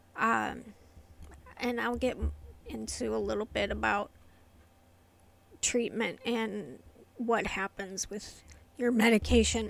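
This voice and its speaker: A woman speaks quietly at a very slow pace. Long, frequent pauses break up her speech. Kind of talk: casual talk to camera. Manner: quiet, hard to hear; hesitant, many fillers.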